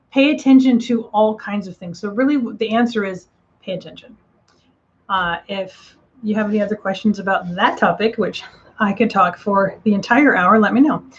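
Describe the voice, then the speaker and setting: A woman's somewhat breathy, fairly high voice at a moderate pace, with big swings in loudness and ordinary pitch variation. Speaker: psychic medium. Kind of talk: live stream reading and Q&A. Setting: live online stream. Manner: casual, with many fillers.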